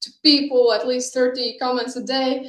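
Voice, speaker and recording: A woman's high-pitched voice at a moderate pace, fairly even in intonation, with audible room echo. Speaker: startup founder. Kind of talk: conference talk.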